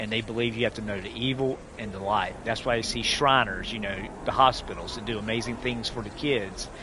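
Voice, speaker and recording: With a Southern US accent, a man talks at a fairly quick pace and a medium pitch, with fairly even intonation. Noticeable background noise and audible room echo are present. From US South. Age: 40s. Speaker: gaming streamer, military veteran. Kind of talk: casual live-stream chat. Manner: halting, many false starts.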